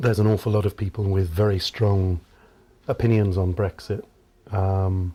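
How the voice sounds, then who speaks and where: A man with a British accent speaks in a dark, mellow, somewhat breathy tone at a fairly low pitch, with fairly even intonation, very even loudness and long, frequent pauses. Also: moderate pace, very clean recording, silent background. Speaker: professor. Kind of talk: interview. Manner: formal.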